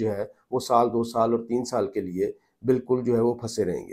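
A man's dark, mellow voice at medium pitch, fairly quick and monotone with flat intonation, against a quiet background. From Pakistan. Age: 40s. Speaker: journalist and political commentator; journalist, political commentator. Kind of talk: political commentary vlog. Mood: serious, grave. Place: home room. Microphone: lapel.

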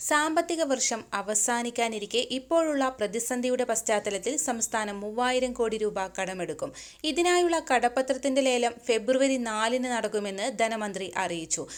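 A woman speaks with lively intonation in a high pitch. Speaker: news presenter. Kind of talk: news reading. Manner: formal.

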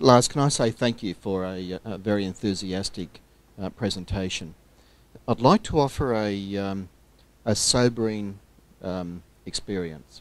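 A man with an Australian accent, fairly low in pitch with ordinary pitch variation, at a fairly slow pace with long, frequent pauses, in a dry sound with no echo. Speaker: scouting official, audience questioner; questioner. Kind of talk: audience question at conference. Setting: stage with audience. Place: meeting room.

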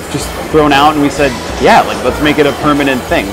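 Over clear music in the background, a man speaks at a moderate pace. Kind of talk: interview answer. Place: cafe. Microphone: lapel.

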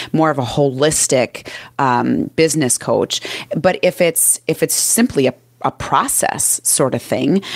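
A fairly slow delivery with a Minnesotan accent, very even loudness and a dry, close sound with no echo. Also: woman. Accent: Minnesota. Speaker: business and mindset coach. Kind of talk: casual interview.

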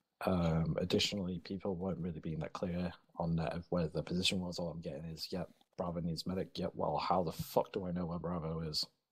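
Spoken at a very fast pace, the voice stays monotone, with flat intonation. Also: man, very deep, low pitch for a man. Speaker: ground commander player giving debrief. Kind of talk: post-op debrief.

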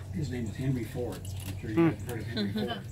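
Noticeable background noise sits behind a man who speaks at a very fast pace. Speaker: boat tour guide. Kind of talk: tour guide storytelling. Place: boat. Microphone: camera far.

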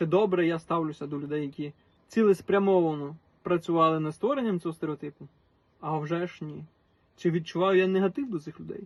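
In a western Ukrainian accent, this speaker moves at a fairly quick pace, with ordinary pitch variation and big swings in loudness. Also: man, high pitch for a man. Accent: Galician (Ternopil) Ukrainian dialect. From western Ukraine, Ternopil region. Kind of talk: personal monologue to camera.

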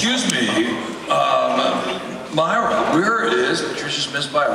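Over noticeable background noise and audible room echo, a man with a high pitch speaks at a very slow pace. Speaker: award presenter, emcee. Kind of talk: award presentation, introducing speaker. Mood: jokey, warm. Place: stage.

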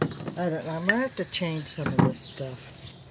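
Over faint background noise, a woman speaks at a low pitch. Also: lively intonation, moderate pace.

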